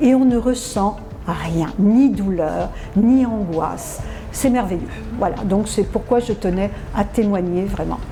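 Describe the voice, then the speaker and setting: A woman of medium pitch speaks very slowly, with long, frequent pauses and ordinary pitch variation. Room echo and noticeable background noise are audible. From France. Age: 60s. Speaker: dental patient giving testimonial. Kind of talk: testimonial interview. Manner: halting, many hesitations.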